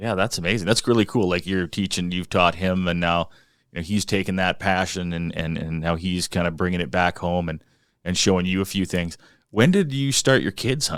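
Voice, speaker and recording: The recording is very clean with a silent background, and the speech moves at a fairly quick pace with ordinary pitch variation. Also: man, very deep, low pitch for a man. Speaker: podcast host. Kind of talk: podcast interviewer.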